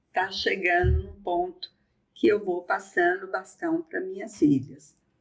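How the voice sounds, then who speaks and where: A woman talks at a fairly slow pace. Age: 60s. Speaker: eye surgeon and hospital director. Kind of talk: podcast conversation.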